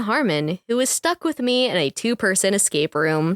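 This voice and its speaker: A woman's medium-pitched voice with very wide pitch swings at a moderate pace, in a dry, close sound with no echo. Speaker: podcast host. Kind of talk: casual podcast review chat.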